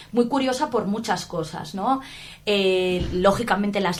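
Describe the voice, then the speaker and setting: In a Valencian accent, a woman speaks at a fairly slow pace. Her pitch varies in an ordinary way. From Valencia region, Spain. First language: Valencian Catalan (speaking Spanish). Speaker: linguistics professor. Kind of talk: interview. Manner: hesitant, many fillers; enthusiastic.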